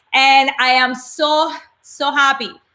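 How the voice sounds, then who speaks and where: A woman speaks in a Colombian accent with a bright, sharp tone. Her intonation stays fairly even. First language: Spanish. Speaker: motivational speaker and coach. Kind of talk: live webinar talk. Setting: livestream broadcast.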